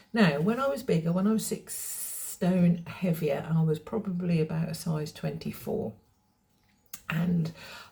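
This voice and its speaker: Somewhat breathy and fairly low, a woman's voice carries a dark, mellow tone and lively intonation. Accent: English. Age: 60s. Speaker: fashion vlogger. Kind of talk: casual vlog talk. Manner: hesitant, with fillers.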